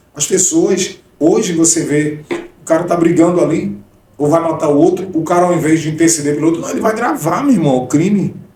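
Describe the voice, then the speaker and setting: Amid noticeable background noise and audible room echo, a high-pitched man speaks at a fairly quick pace with ordinary pitch variation. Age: 40s. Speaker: gospel singer and missionary. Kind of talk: testimony.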